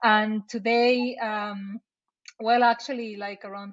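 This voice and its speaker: A woman with a Mexican accent and a flat, monotone delivery. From Mexico City, Mexico. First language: Spanish. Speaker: marketing operations director. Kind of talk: casual interview. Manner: halting with repetitions.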